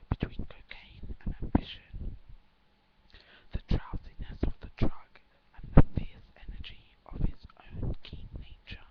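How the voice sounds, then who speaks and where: Whispering at a fairly slow pace, a woman makes big swings in loudness. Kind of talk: whispered story reading, relaxation. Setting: webcam recording at home. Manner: whispered, soft.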